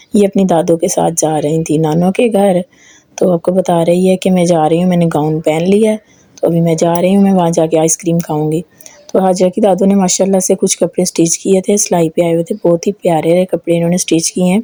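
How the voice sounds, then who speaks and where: Over noticeable background noise, the speech comes at a moderate pace with very even loudness, fairly even intonation, and a dry, close sound with no echo. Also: woman, fairly low pitch for a woman. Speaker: family vlogger. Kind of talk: casual vlog narration.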